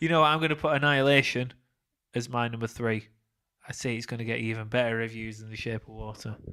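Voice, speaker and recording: A man in a Lancashire accent at a very fast pace, with a bright, sharp tone, fairly even intonation and big swings in loudness. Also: medium pitch for a man. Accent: Burnley. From northern England, Burnley, Lancashire. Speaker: podcast co-host. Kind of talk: casual chat.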